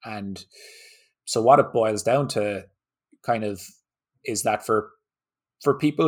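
Moderate-paced male speech with ordinary pitch variation on a very clean recording with a silent background. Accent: Irish. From Ireland. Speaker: golf fitness trainer. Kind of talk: podcast interview.

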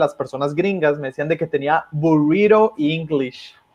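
A man's lively intonation carries through his moderate pace. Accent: Mexican. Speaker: YouTube political commentator. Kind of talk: casual livestream discussion.

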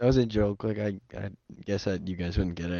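A normal speaking voice from a man, fairly low-pitched and fairly quick, with fairly even intonation. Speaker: podcast host. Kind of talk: casual banter podcast.

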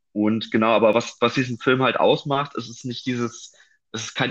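A man's medium-pitched voice, fairly quick and fairly even in intonation, over a quiet background. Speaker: film podcast host. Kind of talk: casual chat. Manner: halting, many filler sounds.

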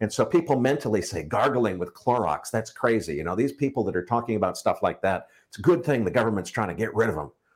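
Using vocal fry and an American accent, a man talks at a very fast pace with hardly any pauses. His pitch moves in very wide swings. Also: medium pitch for a man. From United States. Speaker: financial podcast host. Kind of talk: casual interview. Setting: video call.

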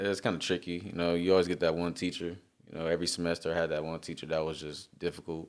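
Very deep, low male voice with an American accent, monotone, flat intonation and a very fast pace. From Long Beach, California. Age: 20s. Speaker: artist and airport worker. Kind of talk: casual chat.

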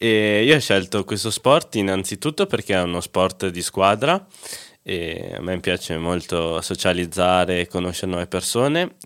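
With a plain, everyday voice, a man speaks at a moderate pace and a fairly low pitch with ordinary pitch variation, recorded very cleanly against a silent background. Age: 20s. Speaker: para ice hockey player. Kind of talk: interview.

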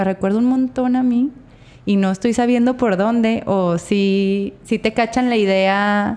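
A woman speaks at a moderate pace with fairly even intonation and a fairly high pitch. Hers is an unremarkable speaking voice. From Mexico, Torreón. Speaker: podcast host. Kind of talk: casual interview chat. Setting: studio.

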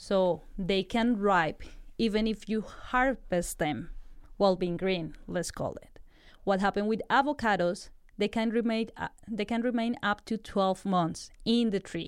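A woman with a Spanish accent talks at a medium pitch and a fairly slow pace, with ordinary pitch variation. The recording is very clean, with a silent background. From Colombia. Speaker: food science graduate student, researcher. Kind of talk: interview, explaining research.

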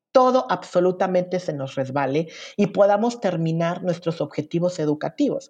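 With lively intonation, a woman talks at a moderate pace in an unremarkable speaking voice that sits fairly low in pitch. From Veracruz, Mexico. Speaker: LGBT prison rights activist. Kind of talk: interview conversation. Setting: remote recording.

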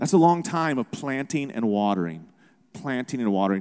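Pitched at a medium level, a man's voice makes very wide pitch swings. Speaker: missionary. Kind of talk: testimony.

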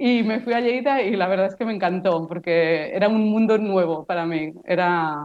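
At a moderate pace, the woman talks in a plain, everyday voice, medium in pitch, with ordinary pitch variation. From Barcelona, Spain. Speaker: postdoctoral researcher in weed science. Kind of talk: interview.

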